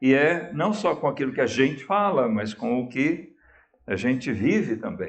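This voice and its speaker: The man's pitch is fairly high, swinging very widely. He speaks at a fairly slow pace, with audible room echo. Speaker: pastor. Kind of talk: sermon. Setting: church. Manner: slow, with pauses; calm.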